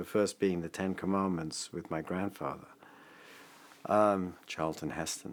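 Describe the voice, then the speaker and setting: At a moderate pace, a man with an English accent speaks in a very deep, low voice with ordinary pitch variation. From England. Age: 50s. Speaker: father, interviewee. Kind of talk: personal testimony.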